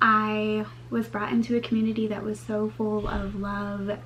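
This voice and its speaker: A woman speaks at a very slow pace, with noticeable background noise and audible echo in the room. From moved around US; over a decade in US South (Georgia). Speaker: flight attendant, student. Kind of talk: personal presentation for a class.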